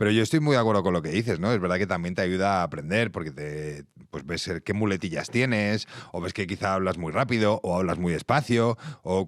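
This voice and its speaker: A man's very deep, low voice with ordinary pitch variation at a fairly quick pace. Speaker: podcast host. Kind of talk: interview. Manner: fast.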